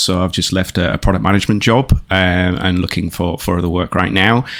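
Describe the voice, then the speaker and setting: A speaker with a northern English accent talks in a bright, sharp tone with ordinary pitch variation. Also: man. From northern England. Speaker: product manager. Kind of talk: casual interview. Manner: hesitant, many fillers.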